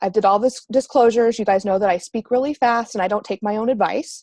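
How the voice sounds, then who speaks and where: A woman's fairly high voice moves at a fairly quick pace with ordinary pitch variation. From US Midwest, Missouri. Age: 30s. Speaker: marketing coach. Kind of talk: group coaching call. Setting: online group call. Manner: fast; casual.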